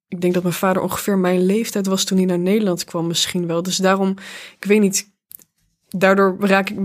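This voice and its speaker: Her intonation is monotone and flat, and a woman speaks at medium pitch. The recording is very clean, with a silent background. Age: 20s. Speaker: playwright. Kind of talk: interview.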